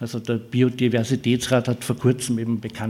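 In a flat monotone, a man speaks at a mid-range pitch. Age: 60s. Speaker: futures researcher. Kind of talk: lecture.

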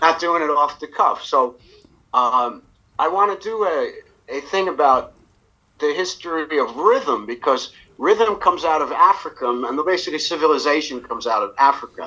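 A man speaks with an American accent in a fairly high voice. His tone is bright and sharp, and his intonation is lively. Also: moderate pace. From New York. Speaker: jazz musician. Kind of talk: casual interview. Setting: video call.

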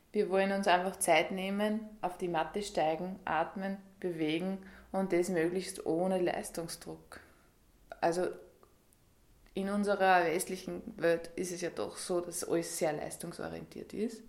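Speaking at a fairly slow pace, a woman with a medium pitch keeps a monotone, flat intonation. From Upper Austria. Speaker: yoga teacher. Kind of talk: radio interview. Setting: yoga studio.

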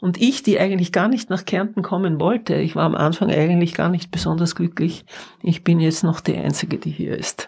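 A woman with a fairly low pitch and vocal fry speaks at a fairly quick pace. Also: ordinary pitch variation. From not Carinthia (moved there as adult). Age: old. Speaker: artist. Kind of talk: guided tour conversation. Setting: at home, walking through house.

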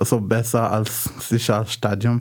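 The speech moves at a very slow pace. Background noise is noticeable. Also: man. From Morocco, Casablanca. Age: 30s. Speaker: blind refugee. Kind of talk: radio interview. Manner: halting, many fillers.

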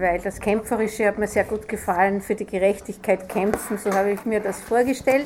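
At a moderate pace, a woman with a fairly high voice speaks with fairly even intonation over noticeable background noise. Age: 60s. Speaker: retired judge. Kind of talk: interview with children.

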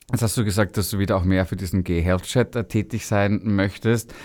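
An ordinary speaking voice from a man, fairly low in pitch, at a moderate pace, on a very clean recording with a silent background. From Austria, Vienna. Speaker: radio host. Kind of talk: casual interview chat. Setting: radio studio.

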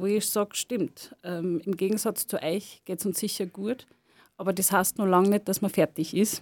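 In an ordinary speaking voice, a woman talks at a moderate pace and medium pitch with fairly even intonation, the sound dry and close with no echo. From Lower Austria, farm. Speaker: sociologist and cultural worker. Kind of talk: radio interview. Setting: studio.

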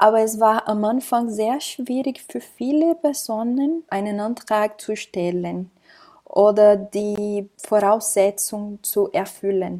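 On a very clean recording with a silent background, a woman with a Portuguese accent speaks very slowly in a fairly high pitch, her tone dark and mellow and her pitch variation ordinary. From Brazil. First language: Portuguese (speaking German). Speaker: migrant rights counselor. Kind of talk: interview.

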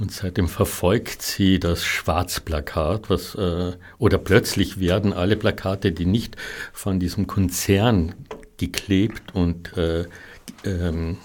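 Speaking at a very slow pace, a man with a very deep, low voice sounds somewhat breathy, his intonation fairly even. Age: 60s. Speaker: artist. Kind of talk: interview. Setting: studio. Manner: halting.

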